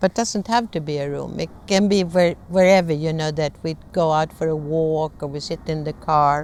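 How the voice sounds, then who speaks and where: With a Swedish accent, a woman speaks at a very deep, low pitch and fairly even intonation, at a moderate pace with hardly any pauses. The recording is very clean, with a silent background. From Sweden. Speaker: conflict management trainer. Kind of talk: lecture.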